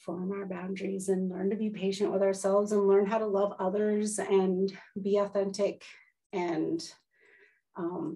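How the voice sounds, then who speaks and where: A woman speaks with an American accent at medium pitch. Her tone is dark and mellow, and her intonation is monotone and flat. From Washington state, US. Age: 40s. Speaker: interview guest. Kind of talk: casual chat. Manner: fast.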